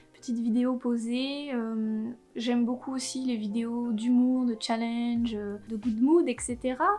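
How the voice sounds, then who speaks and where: Music plays in the background as a woman speaks at a high pitch and a very slow pace. Her intonation stays fairly even. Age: 20s. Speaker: YouTuber. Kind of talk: casual vlog introduction. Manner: casual, with frequent hesitations.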